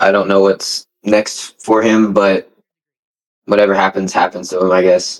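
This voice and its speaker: Fairly low-pitched man's voice in monotone, flat intonation. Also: fairly slow pace. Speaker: former co-worker of the subject. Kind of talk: interview. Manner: casual.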